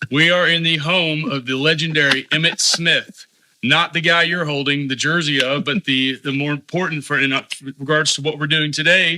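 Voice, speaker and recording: Fairly high in pitch, a man speaks with an ordinary speaking voice. His pace is moderate and his intonation fairly even. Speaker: podcast host. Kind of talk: podcast intro.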